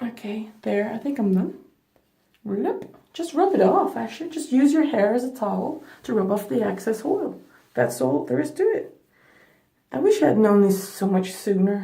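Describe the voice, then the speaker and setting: With a non-native accent, a woman of fairly high pitch speaks at a moderate pace in a dark, mellow tone with vocal fry and very wide pitch swings, and audible room echo surrounds her. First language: not English. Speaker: beauty vlogger. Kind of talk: hair care tutorial. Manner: casual, chatty.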